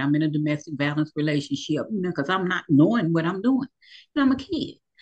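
The speaker is a woman. She talks at a very deep, low pitch. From Louisville, Kentucky. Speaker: abuse survivor, poet and motivational speaker. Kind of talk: testimony.

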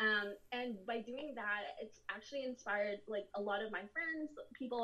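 A woman's fairly high, ordinary speaking voice, moderate in pace and ordinary in pitch variation. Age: 30s. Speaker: plus-size model and makeup artist. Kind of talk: casual chat.

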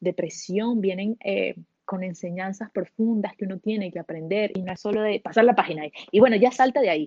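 Here is a woman with an unremarkable speaking voice, a medium pitch and ordinary pitch variation. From Venezuela. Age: 30s. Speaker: solo traveler and entrepreneur. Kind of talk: interview.

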